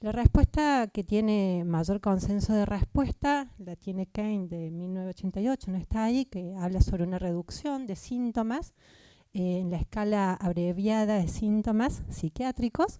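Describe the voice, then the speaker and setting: A woman with a Córdoba accent, a dark, mellow tone and medium pitch, at a moderate pace with ordinary pitch variation, in a dry, close sound with no echo. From Argentina, Córdoba. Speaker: psychiatrist. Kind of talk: conference talk. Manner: halting, with fillers.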